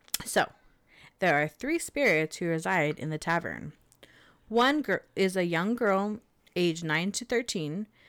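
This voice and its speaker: With long, frequent pauses, a woman speaks in a Californian accent with lively intonation over a very clean recording with a silent background. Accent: Californian American. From Southern California. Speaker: podcast co-host. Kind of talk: casual chat storytelling.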